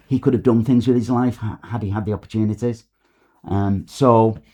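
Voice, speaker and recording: The speaker uses a northern English accent, a dark, mellow tone, fairly even intonation and a fairly quick pace. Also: man. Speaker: novelist. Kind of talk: podcast interview. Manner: hesitant, many fillers.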